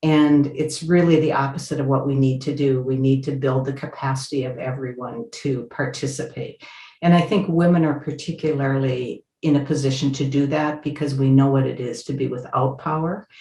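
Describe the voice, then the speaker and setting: At a moderate pace, a woman speaks with a somewhat breathy, very deep, low voice, a dark, mellow tone and fairly even intonation. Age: 70s. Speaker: activist. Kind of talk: interview.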